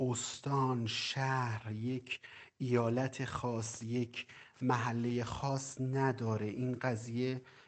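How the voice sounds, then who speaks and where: A man's medium-pitched voice in a monotone, flat intonation at a very slow pace. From Iran, Qazvin province. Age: 30s. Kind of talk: interview testimony. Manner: halting, many pauses.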